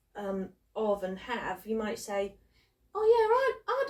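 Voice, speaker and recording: Speaking in a British accent, a woman uses a fairly high pitch, fairly even intonation and a fairly slow pace. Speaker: YouTube creator and co-host. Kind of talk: casual chat.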